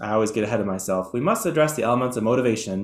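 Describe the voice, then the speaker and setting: A very fast pace with ordinary pitch variation. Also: man. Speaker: educational presenter. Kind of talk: webinar lecture.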